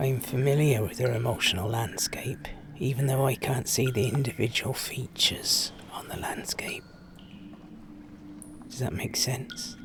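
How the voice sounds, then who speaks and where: A man uses a put-on, raspy character voice at a medium pitch and moderate pace, with long, frequent pauses over light background noise. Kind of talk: dramatic monologue. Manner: slow, hypnotic.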